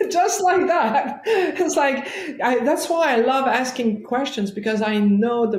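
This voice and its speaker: A woman with a French-Canadian accent, her pitch swinging very widely, at a fairly slow pace. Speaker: chiropractor and life coach. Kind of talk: interview storytelling.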